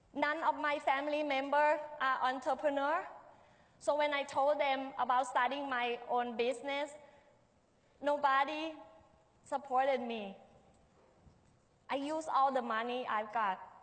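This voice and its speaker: In a Thai accent, a woman speaks at a high pitch and a fairly slow pace, with long, frequent pauses. Her intonation is fairly even, and the room echo is audible. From Thailand, Bangkok. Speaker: restaurant owner and chef. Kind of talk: public talk. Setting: stage with audience.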